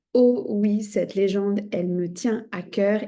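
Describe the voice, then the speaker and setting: Her voice has a dark, mellow tone at a medium pitch for a woman. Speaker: shamanism teacher and podcast host. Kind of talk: podcast storytelling. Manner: conversational with frequent hesitations.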